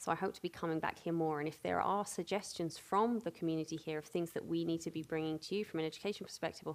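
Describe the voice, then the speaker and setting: Talking at a very fast pace, a woman uses a British accent. Her fairly low voice carries ordinary pitch variation. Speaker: panel moderator. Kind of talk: panel moderation. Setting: stage with audience.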